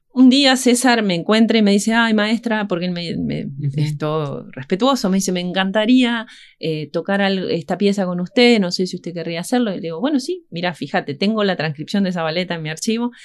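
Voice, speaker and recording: Against a quiet background, a woman with a plain, everyday voice talks at a fairly quick pace, her medium pitch moving in lively intonation. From Argentina, Entre Ríos (Concepción del Uruguay). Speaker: harpist and music teacher. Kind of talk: radio interview. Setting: radio studio.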